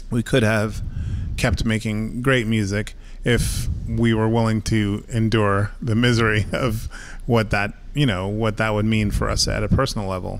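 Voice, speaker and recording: In a room with audible echo, a man speaks at a moderate pace with a fairly low pitch and monotone, flat intonation. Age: 40s. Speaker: musician. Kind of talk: interview. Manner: halting, many fillers.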